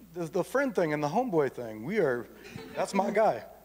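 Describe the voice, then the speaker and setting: With noticeable noise behind them, the speaker talks at a moderate speed in an American accent. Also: man. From Iowa. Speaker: artist and activist. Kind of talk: panel discussion. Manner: halting, many fillers.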